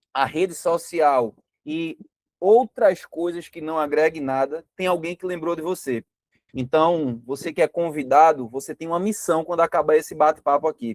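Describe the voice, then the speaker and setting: This man has a normal speaking voice, pitched fairly high, with ordinary pitch variation. He talks at a moderate pace, with big swings in loudness. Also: dry, close sound with no echo. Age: 30s. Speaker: network marketing presenter. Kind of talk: sales pitch.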